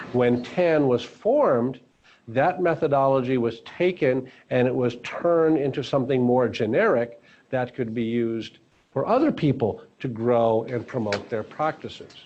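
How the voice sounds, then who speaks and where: Speaking at a moderate pace with ordinary pitch variation, a man at medium pitch has an ordinary speaking voice. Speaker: founder and course speaker. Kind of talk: lecture.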